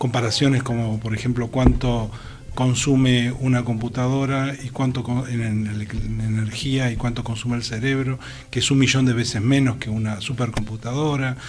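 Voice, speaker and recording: With music in the background and audible room echo, a man speaks at a moderate pace in a flat, monotone medium pitch. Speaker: researcher in social psychology. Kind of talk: radio interview.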